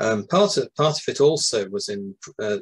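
Against a quiet background, a man with a British accent speaks in a somewhat breathy voice, his pitch swinging very widely. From UK. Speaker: music book author and video game music expert. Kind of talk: interview. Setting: video call. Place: home room. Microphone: video call.

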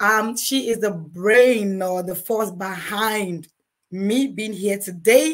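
Her voice is that of a woman with a fairly high pitch. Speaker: couples advice podcast host. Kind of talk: casual chat.

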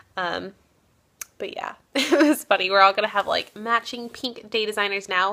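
A woman mumbles at a moderate pace, her pitch fairly high with ordinary variation. The background is quiet. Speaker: beauty vlogger; vlogger. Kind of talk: casual vlog talk. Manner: mumbling. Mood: amused, chatty. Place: home room. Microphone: phone near.

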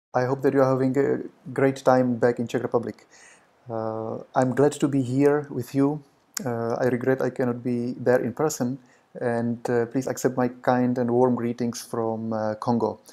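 This man's voice has a dark, mellow tone. He keeps a moderate pace in a flat monotone. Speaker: presenter. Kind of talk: prepared conference talk. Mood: calm, polite. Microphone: webcam.

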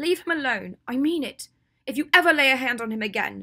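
Putting on a character voice, a woman speaks high with a bright, sharp tone, a slightly husky edge, lively intonation and a fairly quick pace.

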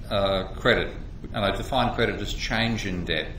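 Over light background noise and audible room echo, a man speaks at a fairly quick pace in a fairly low pitch with monotone, flat intonation. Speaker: economics lecturer. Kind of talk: lecture. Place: office. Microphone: webcam.

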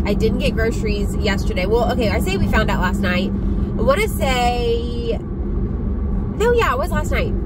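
A woman at a moderate pace with hardly any pauses, a dry sound with no echo, and loud background noise. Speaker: lifestyle vlogger. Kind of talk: casual vlog chat. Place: car. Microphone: phone near.

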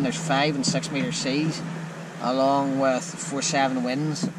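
A man keeps to a moderate pace while loud background noise goes on. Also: dry sound with no echo. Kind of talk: casual vlog chat. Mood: frustrated, disappointed. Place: boat. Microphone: phone near.

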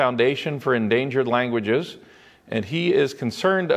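Here is plain reading aloud, delivered with lively intonation.

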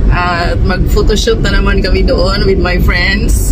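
A woman keeps to a moderate speed while loud background noise fills the recording. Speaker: travel vlogger. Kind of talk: casual vlog chat. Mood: cheerful, chatty. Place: car.

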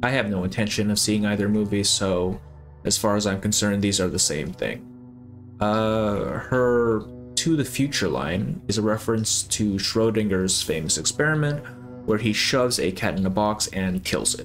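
Faint music plays behind a man with a fairly low voice who speaks at a moderate pace with lively intonation. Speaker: video game analysis creator. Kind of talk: video essay narration. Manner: casual with fillers. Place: home room.

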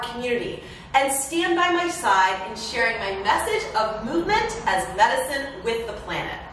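A woman's high voice at a moderate pace, with audible room echo and light background noise. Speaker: fitness coach. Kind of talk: workout video intro. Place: home room.

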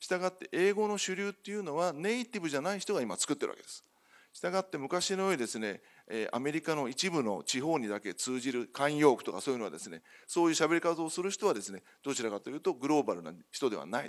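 A man talks at a very fast pace with very wide pitch swings and big swings in loudness. The background is quiet. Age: 50s. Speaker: company CEO; speaker. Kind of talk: conference keynote presentation. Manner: formal. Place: hall.

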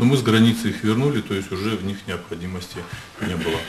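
A man speaks at a very fast pace in a fairly low pitch with ordinary pitch variation, over light background noise. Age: 60s. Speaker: medical official testifying as witness; witness. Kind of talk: court testimony. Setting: courtroom. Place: hall. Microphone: podium.

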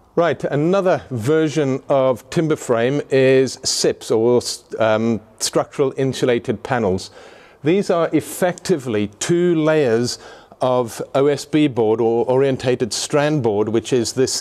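The man's tone is dark and mellow, with ordinary pitch variation. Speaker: presenter. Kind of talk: tutorial. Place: hall. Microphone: phone near.

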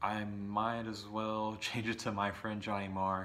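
A man's fairly low voice, bright and sharp in tone, is heard with audible room echo. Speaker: vinyl record collector YouTuber. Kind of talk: casual monologue video.

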